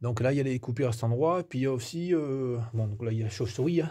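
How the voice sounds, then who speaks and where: A man's dark, mellow, somewhat breathy voice at a very fast pace with ordinary pitch variation, on a very clean recording with a silent background. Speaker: amateur naturalist. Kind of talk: nature walk vlog. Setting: outdoors, in a cave. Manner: soft-spoken; hesitant.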